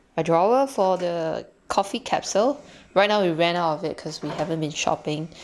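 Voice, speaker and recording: Light background noise is present. Over it, a woman talks at a moderate pace. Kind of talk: casual home tour narration. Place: kitchen. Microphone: phone near.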